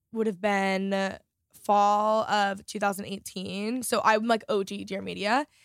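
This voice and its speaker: A woman with a normal speaking voice, medium pitch and moderate pace, on a very clean recording with a silent background. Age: 20s. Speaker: lifestyle vlogger and podcast host. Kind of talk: casual interview chat.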